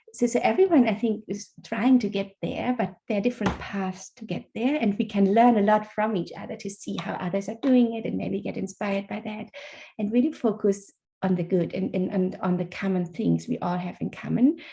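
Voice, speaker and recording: The speaker has a German accent and a fairly quick pace. Pitch variation is ordinary. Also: woman, medium pitch for a woman. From Germany. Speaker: author. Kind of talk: interview.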